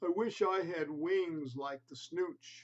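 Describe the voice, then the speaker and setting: In a put-on character voice pitched high for a man, a man speaks at a fairly slow pace. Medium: read story.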